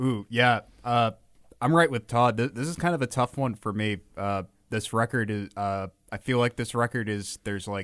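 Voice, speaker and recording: On a very clean recording with a silent background, a man in a normal speaking voice talks at a moderate pace with ordinary pitch variation. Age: 30s. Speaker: podcast co-host. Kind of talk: casual chat.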